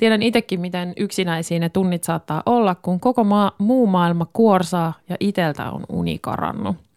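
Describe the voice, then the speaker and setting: In a plain, everyday voice, a woman speaks at a moderate pace with hardly any pauses, using a medium pitch and ordinary pitch variation, in a dry, close sound with no echo. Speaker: radio host. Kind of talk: casual chat. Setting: home studio.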